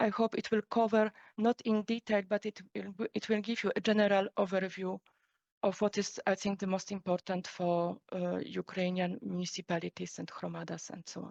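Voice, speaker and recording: A woman with a Polish accent, medium pitch and monotone, flat intonation, in a dry, close sound with no echo. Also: moderate pace. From Poland. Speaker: EU policy official. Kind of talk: lecture.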